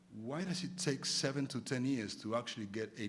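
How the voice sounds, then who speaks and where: A man's medium-pitched voice at a fairly quick pace, with very wide pitch swings and audible room echo. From Argentina. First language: Spanish. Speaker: arbitration lawyer, conference debater. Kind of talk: formal debate speech. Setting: conference stage with audience. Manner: many repetitions and filler words.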